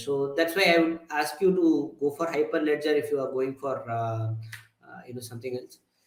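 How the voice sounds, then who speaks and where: With lively intonation, a man talks amid audible room echo. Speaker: tech conference speaker. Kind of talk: lecture. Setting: meetup talk with audience. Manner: fast; hesitant, many fillers.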